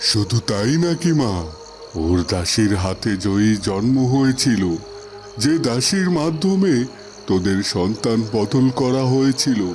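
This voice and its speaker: Over clear background noise, a man uses a cartoonish character voice at a medium pitch and a fairly slow pace. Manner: grave, slow, fatherly.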